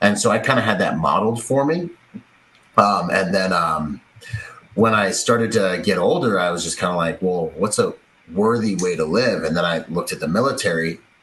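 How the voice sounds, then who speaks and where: A man with an American accent, fairly low in pitch with ordinary pitch variation, at a moderate pace amid noticeable background noise. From Bahamas and Washington State, US. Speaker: security agent and military veteran. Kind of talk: podcast interview. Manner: animated.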